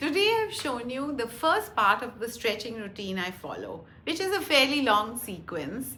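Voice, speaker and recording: Her voice high and swinging very widely in pitch, a woman talks with hardly any pauses in a room with audible echo. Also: moderate pace. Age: 60s. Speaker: physical therapist and fitness instructor. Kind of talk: exercise tutorial. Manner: calm, instructive.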